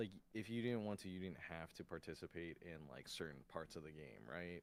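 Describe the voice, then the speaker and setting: A man speaks quietly. His intonation is lively. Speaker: vtuber streamer. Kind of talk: casual chat. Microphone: too quiet on stream.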